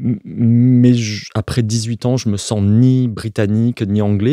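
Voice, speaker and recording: In a strong Provençal accent, a man at medium pitch talks with a dark, mellow tone in a dry, close sound with no echo. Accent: Provençal accent, still strong. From Provence, southern France. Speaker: architect. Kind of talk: interview. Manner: halting, many hesitations and repetitions.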